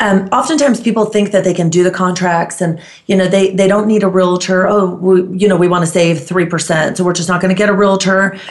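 A woman speaks at medium pitch and a fairly quick pace, with hardly any pauses, very even loudness and fairly even intonation. Noticeable background noise is present. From Greece, Crete. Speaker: realtor. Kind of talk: casual chat.

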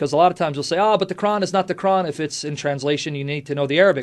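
Over a quiet background, a man with an American accent talks at a very fast pace with lively intonation. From United States. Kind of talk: radio interview.

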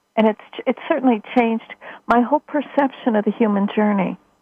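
A woman talks at a fairly quick pace with a fairly high pitch. It is a plain, everyday voice. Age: 60s. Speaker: spiritual teacher and author. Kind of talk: radio interview.

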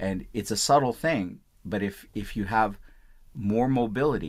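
A man speaks with a normal speaking voice. His pace is moderate and his pitch variation ordinary. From India, Punjab; moved to US at nine. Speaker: physician. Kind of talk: interview. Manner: repeats words, false starts.

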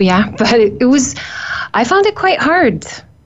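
A woman speaks at a fairly slow pace with an Icelandic accent. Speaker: nutritionist. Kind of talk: interview. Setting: studio.

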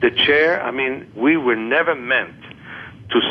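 Noticeable background noise sits behind a man's voice. He talks at a fairly slow pace with ordinary pitch variation. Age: 60s. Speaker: author and vision therapist. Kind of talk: interview.

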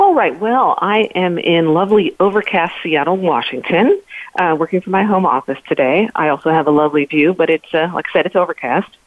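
An ordinary speaking voice from a woman, fairly low in pitch with ordinary pitch variation, at a fairly quick pace. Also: hardly any pauses. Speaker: HR technology panelist. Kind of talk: panel discussion. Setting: phone call.

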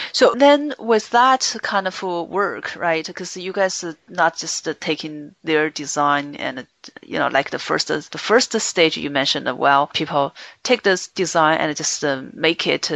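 Using lively intonation, a woman with a Chinese accent speaks at a fairly slow pace in a fairly low voice. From China. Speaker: podcast host and business consultant. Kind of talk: interview. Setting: Skype call.

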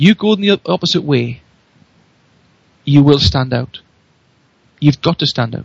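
A man with a Geordie accent speaks at a moderate pace in a fairly high, somewhat breathy voice. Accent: Newcastle (Geordie) English. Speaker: radio show guest, marketing speaker. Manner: energetic, enthusiastic.

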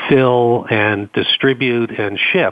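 A man speaks in an American accent at medium pitch. His intonation stays fairly even. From Boston, US Northeast. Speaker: company co-founder. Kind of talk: radio interview. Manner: hesitant, filler-heavy.

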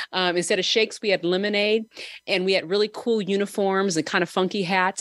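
On a very clean recording with a silent background and a dry, close sound with no echo, a woman with an American accent uses an ordinary speaking voice at a medium pitch and a fairly quick pace. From Southern California. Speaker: podcast host and business owner. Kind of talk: casual chat.

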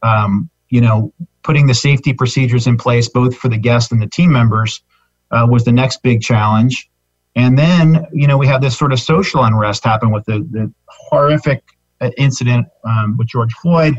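Somewhat breathy male voice at a medium pitch with ordinary variation, moderate pace, very even loudness, and a dry, close sound with no echo. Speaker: business owner. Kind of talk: casual interview chat.

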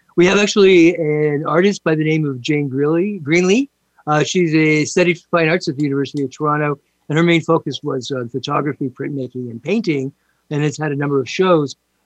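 Here is a man with a normal speaking voice at a fairly high pitch. The sound is dry and close, with no echo. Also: ordinary pitch variation. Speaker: talk show host. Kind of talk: interview. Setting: live radio show, remote.

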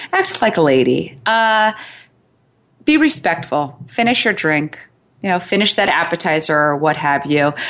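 With lively intonation and very even loudness, a woman speaks at a moderate pace in a very deep, low pitch. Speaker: matchmaker and dating coach. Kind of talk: casual interview chat. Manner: rambling, filler-heavy.

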